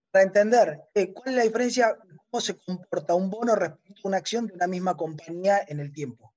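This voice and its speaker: Here a man speaks with a high pitch and ordinary pitch variation. His pace is fairly quick. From Argentina, Río Negro. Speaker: caller, retail investor. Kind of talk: casual chat. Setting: remote call from a hotel room.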